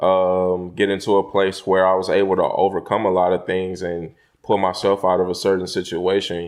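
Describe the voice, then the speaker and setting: The speaker goes at a moderate pace against a quiet background. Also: man. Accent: American. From Houston, Texas. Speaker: rapper. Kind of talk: interview. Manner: hesitant, filler-heavy.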